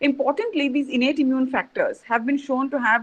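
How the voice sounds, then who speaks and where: The speaker is a woman. She goes at a fairly quick pace. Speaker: scientist presenting research. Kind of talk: online conference talk. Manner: fast.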